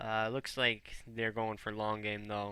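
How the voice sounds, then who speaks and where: A man's fairly low pitch pairs with a bright, sharp tone. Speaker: game shoutcaster. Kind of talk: live commentary. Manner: hesitant, many fillers; fast.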